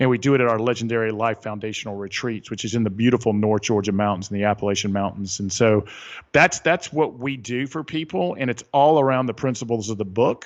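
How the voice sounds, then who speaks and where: Very fast speech from a medium-pitched man, hardly any pauses, ordinary pitch variation, over a quiet background. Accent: Southern US. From US South, Atlanta area. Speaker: author and retreat leader. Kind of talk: podcast interview. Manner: animated.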